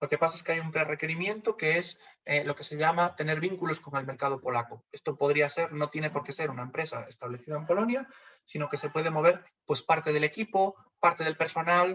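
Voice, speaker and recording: A man with a Galician accent speaks at a fairly high pitch with ordinary pitch variation. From Galicia, Spain. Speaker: funding community manager. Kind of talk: webinar presentation. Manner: hesitant, many fillers.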